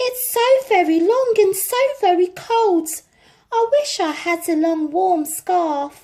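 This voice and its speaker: A woman's squeaky, put-on character voice, extremely high in pitch, at a fairly slow pace. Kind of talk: bedtime story. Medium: read story. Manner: sad, wishful.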